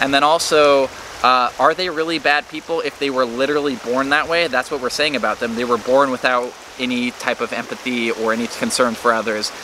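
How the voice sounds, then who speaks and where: A man's medium-pitched voice, fairly even in intonation and fairly quick, over noticeable background noise. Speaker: political commentary youtuber. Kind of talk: casual monologue to camera. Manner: halting, self-correcting.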